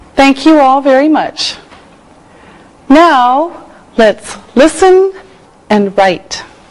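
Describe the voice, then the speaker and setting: Very slow and high-pitched, a woman speaks with lively intonation and very even loudness. She leaves long, frequent pauses over noticeable background noise. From Canada, Toronto. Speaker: English teacher. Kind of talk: lesson for English learners. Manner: slow, clear.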